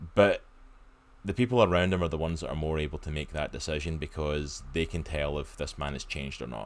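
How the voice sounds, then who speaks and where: Very deep, low-pitched, a man with a Scottish accent speaks at a very fast pace with vocal fry and ordinary pitch variation. The recording is very clean, with a silent background. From Scotland. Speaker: comics podcast host. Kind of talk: casual chat.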